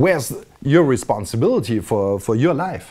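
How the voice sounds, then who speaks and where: A man talks at a moderate pace in a medium pitch. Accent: German. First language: German. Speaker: video blogger. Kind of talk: casual monologue. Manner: halting, many repetitions.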